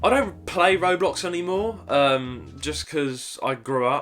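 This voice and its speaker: Music plays in the background as a man talks with a Cockney accent. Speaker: gaming YouTuber and streamer. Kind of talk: casual Q&A talk to camera.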